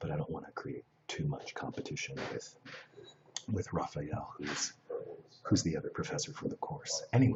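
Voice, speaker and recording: A quiet man speaks with long, frequent pauses. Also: moderate pace. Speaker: live streamer. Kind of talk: casual chat. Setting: live stream in a shared space. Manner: hushed, speaking low.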